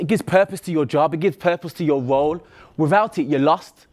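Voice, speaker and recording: Over a silent background on a very clean recording, a man talks with a Birmingham accent at a high pitch. His tone is animated, his intonation lively, and his pace fairly quick. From Birmingham, England. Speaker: athlete and motivational speaker. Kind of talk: motivational talk.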